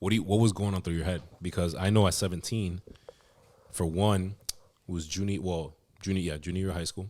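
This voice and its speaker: Very deep and low-pitched, a man with a dark, mellow tone talks at a fairly quick pace with fairly even intonation and long, frequent pauses. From US, Dominican family. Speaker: podcast host, interviewer. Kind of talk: casual interview chat.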